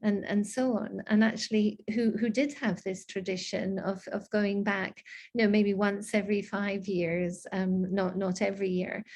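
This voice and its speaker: A woman speaks at a moderate pace with hardly any pauses, in a medium pitch and a slight Scottish accent. Her voice is somewhat breathy and her intonation monotone and flat. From Scotland, raised abroad. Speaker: diplomat. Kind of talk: interview. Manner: halting, many fillers.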